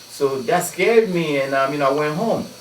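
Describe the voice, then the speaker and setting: Talking at a fairly quick pace, a man uses a fairly high pitch and lively intonation. Audible room echo and noticeable background noise come through. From Ghana. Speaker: DJ and anti-violence activist. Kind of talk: radio interview. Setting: radio studio. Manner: halting, many fillers.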